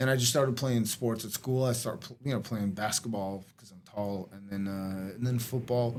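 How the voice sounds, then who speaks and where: A man with a normal speaking voice talks at a medium pitch and moderate pace, with fairly even intonation, hardly any pauses and big swings in loudness. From West Los Angeles, moved from Moscow at age seven. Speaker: jiu-jitsu coach. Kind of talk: interview. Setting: in person.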